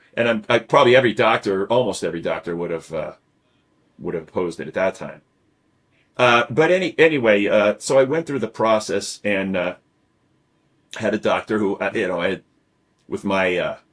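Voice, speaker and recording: In a very clean recording with a silent background, a man talks at a fairly quick pace. His intonation is lively, broken by long, frequent pauses. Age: 60s. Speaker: podcast host, cancer survivor. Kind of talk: casual chat. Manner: halting, many fillers and repetitions.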